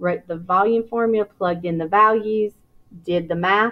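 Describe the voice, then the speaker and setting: This is a normal speaking voice, and its pitch varies in an ordinary way. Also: woman. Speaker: elementary school teacher. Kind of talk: tutorial.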